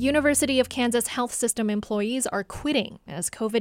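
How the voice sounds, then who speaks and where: With music in the background, a woman talks at a moderate pace in a fairly high pitch with ordinary pitch variation. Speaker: radio news host. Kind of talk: news reading. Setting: studio.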